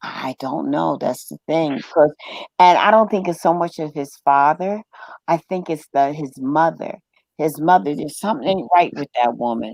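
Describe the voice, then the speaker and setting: With an American accent and a very deep, low pitch, a woman talks at a moderate pace with ordinary pitch variation in a dry, close sound with no echo. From New York, Brooklyn. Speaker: live stream host. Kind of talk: casual chat. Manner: loud.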